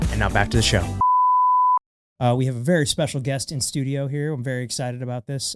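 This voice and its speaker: A man's medium-pitched voice at a very fast pace, with ordinary pitch variation, long, frequent pauses and music in the background. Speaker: podcast host. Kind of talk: casual podcast conversation.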